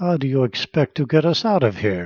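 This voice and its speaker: Putting on a character voice, a man swings his medium-pitched voice very widely at a moderate pace, in a dry, close sound with no echo. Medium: read story. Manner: harsh, curt.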